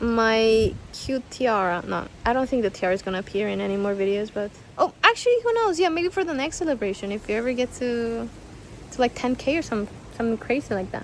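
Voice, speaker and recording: A woman speaks at a fairly quick pace with a Spanish accent, her pitch fairly high. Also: lively intonation. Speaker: YouTuber and artist. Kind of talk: casual vlog Q&A. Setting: outdoors. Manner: chatty, animated.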